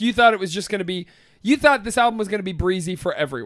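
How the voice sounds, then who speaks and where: A man speaks with an American accent. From US Midwest, Ohio (Youngstown area). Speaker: podcast co-host. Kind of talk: casual chat.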